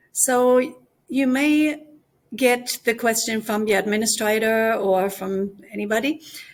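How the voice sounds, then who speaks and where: A woman with a German accent talks at a fairly slow pace. Her pitch is fairly high, with ordinary variation. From Germany. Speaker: language teacher. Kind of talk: conference presentation.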